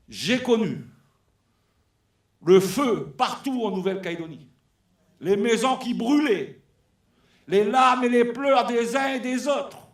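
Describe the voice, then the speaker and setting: A man's extremely high-pitched voice at a very slow pace, with long, frequent pauses, ordinary pitch variation and audible room echo. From New Caledonia. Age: 60s. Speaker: former trade union leader. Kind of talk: speech at a political congress. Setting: hall with audience. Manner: unscripted, emotional and animated.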